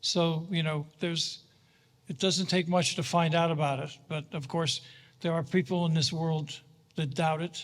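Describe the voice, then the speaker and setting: On a very clean recording with a silent background, a man with a high pitch speaks at a moderate pace in a monotone, flat intonation. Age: 80s+. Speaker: Holocaust educator and speaker. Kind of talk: Q&A after a talk. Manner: halting.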